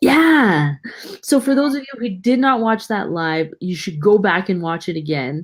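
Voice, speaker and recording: At a fairly slow pace, a woman speaks in a medium pitch that moves through very wide pitch swings. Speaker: mom vlogger co-host. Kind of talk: casual chat.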